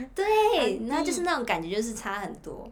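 Fairly quick speech over noticeable background noise, with audible room echo. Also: woman. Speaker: former intern abroad. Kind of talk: casual chat.

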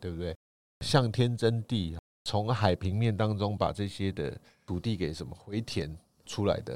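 A man speaks fairly slowly in a plain, everyday voice, pitched fairly low. The recording is very clean, with a silent background. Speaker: tour leader and podcast co-host. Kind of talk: casual travel chat.

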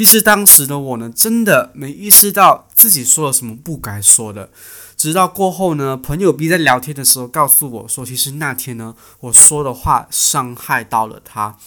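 With a bright, sharp tone and lively intonation, a man speaks at a moderate pace and fairly high pitch, his loudness swinging widely. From Malaysia. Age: 20s. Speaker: podcast host, student. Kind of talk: casual solo podcast talk. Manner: chatty, animated.

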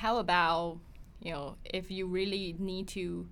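A woman speaks at a fairly slow pace with a medium pitch. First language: Mandarin Chinese. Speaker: podcast host. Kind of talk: interview.

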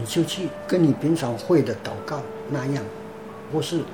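Over noticeable background noise, a man speaks at a fairly high pitch. His pace is fairly slow and his intonation lively. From Taiwan, Pingtung County. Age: 50s. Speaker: church member. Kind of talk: testimony. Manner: halting, many fillers.

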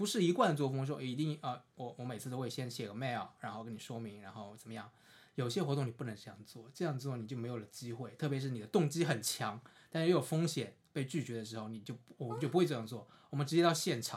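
Very fast speech, somewhat breathy, with ordinary pitch variation on a very clean recording over a silent background. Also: man, medium pitch for a man. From China, Suzhou, Jiangsu. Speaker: visually impaired counseling PhD student. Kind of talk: casual chat.

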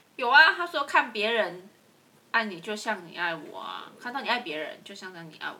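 Against noticeable background noise, a woman with a Taiwanese accent talks at a fairly quick pace in a fairly high pitch, with very wide pitch swings. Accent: Taiwanese Mandarin. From central Taiwan. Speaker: podcast co-host. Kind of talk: casual chat.

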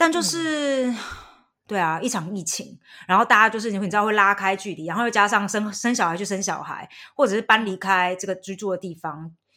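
Quick and lively in intonation, a woman with a bright, sharp tone speaks in a very clean recording with a silent background. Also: medium pitch for a woman. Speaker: podcast host. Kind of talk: casual chat.

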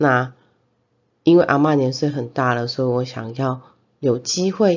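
Her pitch very deep and low, a woman with a Taiwanese accent talks at a fairly slow pace with ordinary pitch variation. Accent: Taiwanese Mandarin. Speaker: podcast host. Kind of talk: casual monologue. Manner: hesitant, many fillers.

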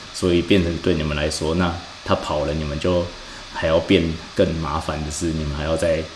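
A man speaks at a fairly quick pace in a very deep, low pitch with monotone, flat intonation. The recording has audible room echo and noticeable background noise. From Taiwan. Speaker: podcast host, financial industry analyst. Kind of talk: casual chat. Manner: halting.

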